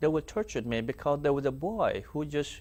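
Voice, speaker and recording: A man with a South Sudanese accent. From South Sudan (Dinka). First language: Dinka. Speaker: former slave, survivor. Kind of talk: testimony interview. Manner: halting.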